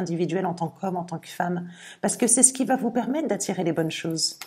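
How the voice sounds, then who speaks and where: Her intonation is lively and her voice somewhat breathy. The woman's pitch sits in the medium range. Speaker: tarot reader. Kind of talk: tarot reading video. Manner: occasional stammering; animated.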